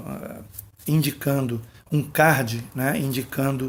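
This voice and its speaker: A soft-spoken man at a very slow pace. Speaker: pastor. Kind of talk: bible teaching monologue. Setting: at home, late at night.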